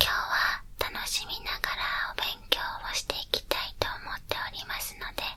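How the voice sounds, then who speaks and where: A whisper at a moderate pace over noticeable background noise. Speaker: ASMR creator. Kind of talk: ASMR teacher role play lesson. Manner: whispered.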